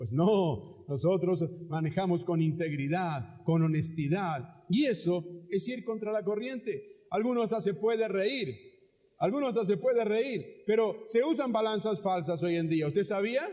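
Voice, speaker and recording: Audible room echo surrounds a man with a high-pitched voice and a dark, mellow tone. He talks at a fairly slow pace with lively intonation. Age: 60s. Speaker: pastor. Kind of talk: sermon. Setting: church auditorium, live.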